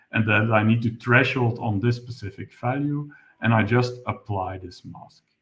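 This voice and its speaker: A man with a medium-pitched voice talks at a moderate pace. His intonation stays fairly even, though his loudness swings widely. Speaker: webinar presenter, software developer. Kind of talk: technical tutorial webinar. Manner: halting, many fillers.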